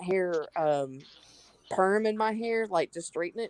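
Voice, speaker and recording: With a strong Southern US accent, a woman speaks at a moderate pace and medium pitch with lively intonation, in a dry, close sound with no echo. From US South, North Carolina. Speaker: live stream panelist. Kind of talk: casual chat.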